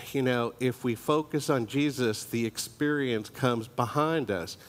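A man speaks at a fairly slow pace with fairly even intonation. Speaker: church teacher. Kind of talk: sermon. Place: church.

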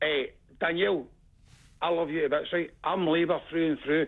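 Speaking in a Glaswegian accent, a man has a high pitch. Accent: Glaswegian Scottish. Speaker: caller. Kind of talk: phone-in call. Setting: phone call. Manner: animated.

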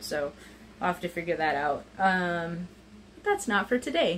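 A woman's voice at a moderate pace over light background noise. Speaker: home vlogger. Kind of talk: casual vlog chat. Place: kitchen. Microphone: phone near.

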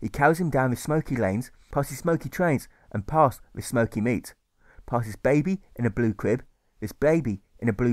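In a quiet setting, someone reads in an unforced voice.

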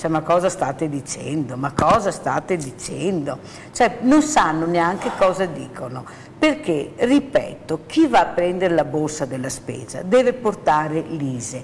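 A woman with a fairly low pitch talks at a fairly slow pace. Her pitch swings very widely over light background noise. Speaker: charity fund organizer and field presenter; presenter. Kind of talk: emotional appeal on TV talk show. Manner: animated. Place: studio. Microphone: lapel.

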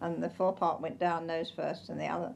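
In an English accent, the speaker talks at a fairly quick pace. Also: woman. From England. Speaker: Titanic survivor. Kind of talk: interview answer. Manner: candid. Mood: earnest, grave recollection. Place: home room.

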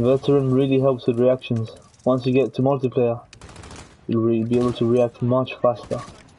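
A medium-pitched man's voice, fairly quick yet with long, frequent pauses, at very even loudness amid noticeable background noise. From Gibraltar. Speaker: gaming streamer. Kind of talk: casual live-stream commentary while gaming. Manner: animated.

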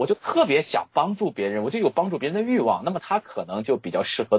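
With vocal fry, a man speaks in very wide pitch swings. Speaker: author and HR expert. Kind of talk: interview.

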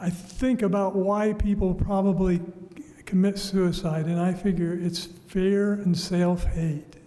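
In a room with audible echo, a man speaks very slowly in a high pitch with monotone, flat intonation. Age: 70s. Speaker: public commenter. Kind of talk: public comment. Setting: council chambers. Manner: halting.

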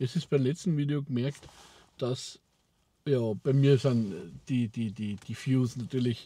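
A man's dark, mellow voice with fairly even intonation at a very slow pace, the sound dry with no echo. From Austria. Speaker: vlogger. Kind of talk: casual talk to camera. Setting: in a car. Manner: rambling, hesitant. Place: car. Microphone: lapel.

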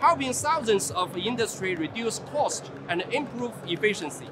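With music in the background, a man talks at a moderate pace. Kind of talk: interview answer. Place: hall. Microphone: lapel.

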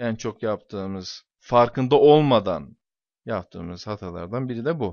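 Speaking at a fairly slow pace, a man of medium pitch uses lively intonation and big swings in loudness. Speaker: English teacher. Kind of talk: lecture. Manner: hesitant fillers.

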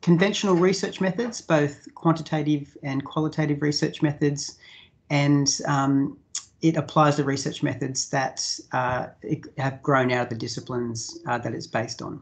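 Speech moves at a moderate pace. Behind it, the background is quiet. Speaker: presenter. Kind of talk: lecture. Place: home room. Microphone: video call.

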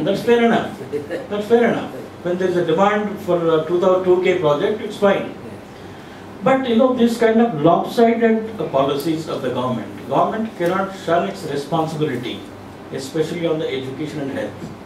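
Amid light background noise and audible room echo, a man speaks at a moderate pace with a high pitch that swings very widely. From India, Telangana. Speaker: civil society activist. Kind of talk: panel discussion. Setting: university campus panel. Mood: critical, earnest. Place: meeting room.

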